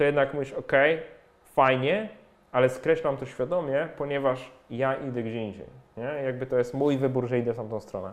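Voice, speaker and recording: Using a normal speaking voice, a man speaks at a moderate pace and medium pitch with ordinary pitch variation. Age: 40s. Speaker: personal finance blogger and author. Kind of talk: casual interview conversation.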